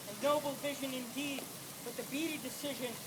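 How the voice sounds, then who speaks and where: A raised, projected voice comes at a moderate pace with monotone, flat intonation. Noticeable background noise and audible room echo are present. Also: man. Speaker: student protester. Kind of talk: prepared speech read aloud.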